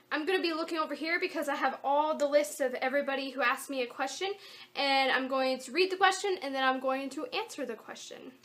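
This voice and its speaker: Using a put-on character voice, a woman talks at a very fast pace in a high, raspy pitch. Her loudness swings widely. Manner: careful, trying not to slur words.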